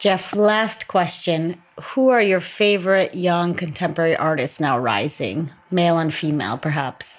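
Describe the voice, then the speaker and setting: With lively intonation and a fairly low pitch, a woman talks in a normal speaking voice. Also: moderate pace. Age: 30s. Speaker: podcast host. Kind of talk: interview. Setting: studio.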